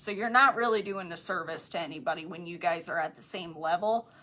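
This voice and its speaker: The speaker has a slight country accent. Pitch variation is ordinary. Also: woman. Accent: slight country twang. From Wisconsin, US Midwest. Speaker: podcast co-host, network marketing coach. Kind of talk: casual book discussion. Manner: casual, filler-heavy.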